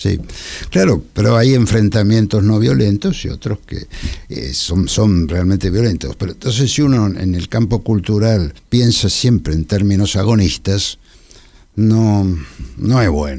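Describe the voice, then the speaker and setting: The tone is dark and mellow, and the intonation is lively. The pace is fairly slow. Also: man, fairly low pitch for a man. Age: 80s+. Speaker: art historian. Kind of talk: radio interview. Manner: halting.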